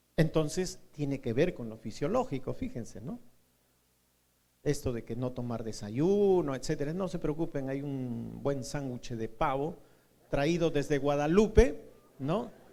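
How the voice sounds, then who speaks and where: A man's fairly high-pitched voice with a dark, mellow tone, lively intonation and a fairly slow pace, in audible room echo. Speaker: university lecturer. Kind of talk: lecture.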